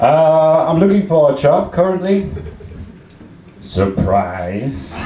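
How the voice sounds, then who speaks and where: A man with a fairly high voice speaks very slowly, his pitch swinging very widely, and the room echo is audible. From Austria, Salzburg. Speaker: comedian. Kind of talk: stand-up. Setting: stage with audience. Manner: halting, with many fillers.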